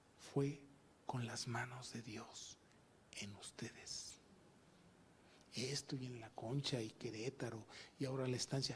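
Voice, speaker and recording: Somewhat breathy speech comes with long, frequent pauses. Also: man, medium pitch for a man, fairly slow pace. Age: 70s. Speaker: pastor. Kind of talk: sermon. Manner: animated.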